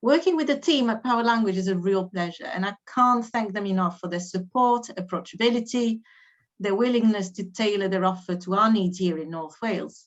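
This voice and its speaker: With a slight French accent, a woman speaks at a fairly quick pace. Her pitch is medium with ordinary variation. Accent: slight French accent when speaking English. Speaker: education adviser hosting teacher training. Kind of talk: webinar introduction.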